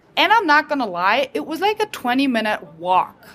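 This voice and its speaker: Over noticeable background noise, a woman with a high pitch speaks at a moderate pace in very wide pitch swings. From rural Germany. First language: German. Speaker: teacher. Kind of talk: casual chat. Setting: restaurant.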